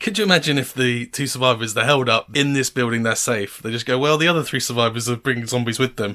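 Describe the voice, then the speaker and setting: Speaking at a very fast pace with hardly any pauses, a man talks at a medium pitch. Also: ordinary pitch variation. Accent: southern English. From England, Cambridge. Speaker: reaction video reviewer. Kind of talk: casual commentary.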